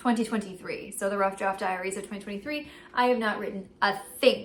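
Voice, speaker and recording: At a fairly quick pace, a woman talks in a normal speaking voice of medium pitch with ordinary pitch variation. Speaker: writing vlogger. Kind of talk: casual vlog.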